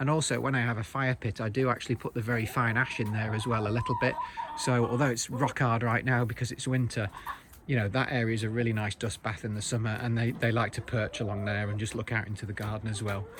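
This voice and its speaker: Against noticeable background noise, a man at medium pitch talks at a very fast pace in a flat monotone. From Britain. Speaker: backyard chicken keeper. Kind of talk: casual tutorial video. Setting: outdoors in backyard. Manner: halting, many fillers.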